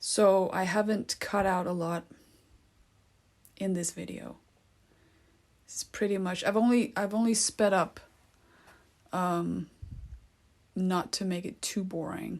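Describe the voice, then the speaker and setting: Pausing long and often, a woman with a non-native accent speaks at a fairly slow pace with fairly even intonation. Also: medium pitch for a woman, very clean recording, silent background. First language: not English. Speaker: art tutorial creator. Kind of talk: tutorial. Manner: hesitant, many fillers; casual, conversational.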